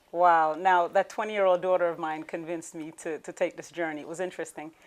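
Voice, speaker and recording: Her pitch is fairly low, and her delivery is very fast with monotone, flat intonation. The woman's loudness swings a lot. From Jamaica, Clarendon. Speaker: beauty queen. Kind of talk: interview.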